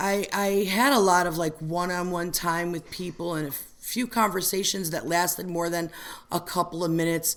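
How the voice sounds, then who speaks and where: A woman speaks at a fairly low pitch. Her pace is moderate. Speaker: recovery meeting member sharing. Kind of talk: testimony. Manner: loud; animated.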